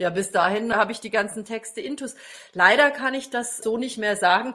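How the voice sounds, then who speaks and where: A woman talks in a bright, sharp tone, her pitch varying in an ordinary way. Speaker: classical singer and voice teacher. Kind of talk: casual chat. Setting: home music room by her grand piano.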